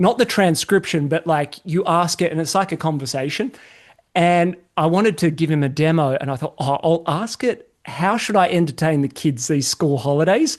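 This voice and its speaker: Against a quiet background, a man with an Australian accent speaks in a high pitch at a moderate pace, with ordinary pitch variation. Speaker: podcast host. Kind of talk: casual chat.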